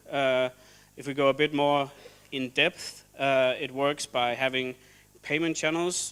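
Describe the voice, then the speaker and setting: A man's fairly high-pitched voice, monotone and flat in intonation. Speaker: software developer presenting at meetup. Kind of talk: conference presentation. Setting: stage with audience. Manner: halting, many fillers.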